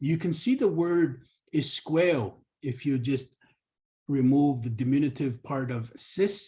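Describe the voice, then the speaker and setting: Very slow and somewhat breathy, a man speaks at a fairly high pitch in a dark, mellow tone with ordinary pitch variation. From northern Canada, Cree community. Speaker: Cree language educator. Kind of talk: professional development presentation. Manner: hesitant with fillers and repetitions.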